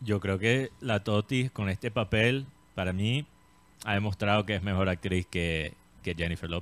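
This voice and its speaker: The sound is dry with no echo. A man talks at a fairly slow pace and a fairly low pitch, with ordinary pitch variation. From Colombia. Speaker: entertainment show host. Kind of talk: casual chat. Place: studio. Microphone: studio mic.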